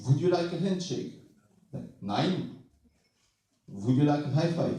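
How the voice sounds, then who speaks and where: Audible room echo hangs around a man whose voice is somewhat breathy. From Bulgaria. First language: Bulgarian. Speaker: stand-up comedian. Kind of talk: stand-up.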